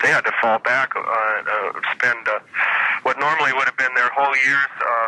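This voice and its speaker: Over noticeable background noise, a man talks at a moderate pace with very even loudness, the sound dry and close with no echo. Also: medium pitch for a man. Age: 40s. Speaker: musician, keyboardist. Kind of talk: interview answer. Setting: phone line.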